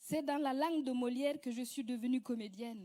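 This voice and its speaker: A woman speaks at a high pitch with ordinary pitch variation. Her tone is dark and mellow. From West Africa, Mossi-speaking. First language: Moore (speaking French). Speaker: actress and comedian. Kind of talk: prepared speech, reading aloud.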